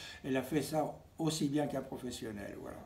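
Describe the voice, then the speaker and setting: Somewhat breathy, a man speaks at a moderate pace with ordinary pitch variation. Audible room echo surrounds him. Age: 90s. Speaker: painter. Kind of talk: interview. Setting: at home. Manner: halting.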